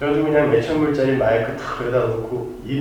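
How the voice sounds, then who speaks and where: Amid noticeable background noise and audible room echo, a man speaks with a fairly high pitch and fairly even intonation. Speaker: pastor. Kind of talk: sermon. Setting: church. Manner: loud. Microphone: poor church sound system.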